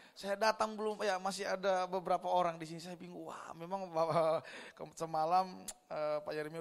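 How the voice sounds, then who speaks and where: An animated man talks at a fairly quick pace in a high pitch. His loudness swings widely. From Indonesia, Manado (North Sulawesi). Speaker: pastor. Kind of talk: sermon.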